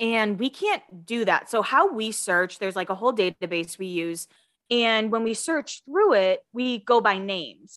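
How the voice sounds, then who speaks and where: An ordinary speaking voice with an American accent, a moderate pace and ordinary pitch variation. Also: woman. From Massachusetts, US. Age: 30s. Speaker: podcast host, gossip commentator. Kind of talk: casual chat.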